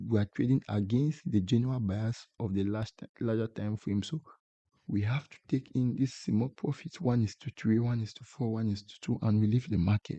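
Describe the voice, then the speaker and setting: A man with a non-native accent and a dark, mellow, medium-pitched voice speaks at a moderate pace with ordinary pitch variation and big swings in loudness, the sound dry and close with no echo. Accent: non-native English accent, self-described. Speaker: forex trading YouTuber. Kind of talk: tutorial. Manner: halting, repeats words.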